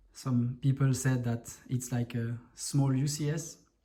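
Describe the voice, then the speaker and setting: A man's somewhat breathy, dark, mellow voice with a French accent, medium in pitch, fairly even in intonation and very slow in pace. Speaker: Lego hobbyist video creator. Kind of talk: show-and-tell tutorial. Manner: halting, many fillers.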